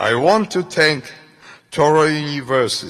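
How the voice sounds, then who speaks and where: A man speaking at a very slow pace, fairly high in pitch, with ordinary pitch variation. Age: 90s. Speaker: Holocaust survivor. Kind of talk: acceptance speech.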